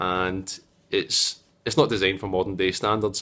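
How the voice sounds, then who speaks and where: With a Scottish accent, a man speaks in a monotone, flat intonation. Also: very clean recording, silent background. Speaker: tech video maker. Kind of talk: casual vlog review. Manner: hesitant, many fillers.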